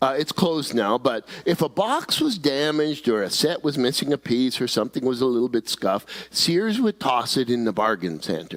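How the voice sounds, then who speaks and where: A man speaks at a fairly quick pace with very wide pitch swings but very even loudness. The sound is dry and close, with no echo. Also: medium pitch for a man. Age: 70s. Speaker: pastor. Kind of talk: sermon.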